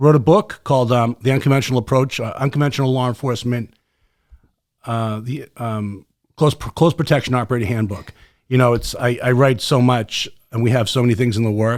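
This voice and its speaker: With a Boston accent, a man speaks in a passionate tone at medium pitch, his intonation fairly even. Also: fairly quick pace. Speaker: podcast host, former special forces soldier. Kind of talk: casual podcast chat. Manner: fast.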